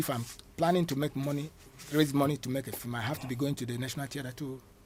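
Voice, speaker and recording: This man speaks at a very fast pace. His pitch is fairly high. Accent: Nigerian. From Nigeria, Igbo. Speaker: actor and filmmaker. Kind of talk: interview. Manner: halting, repeats words.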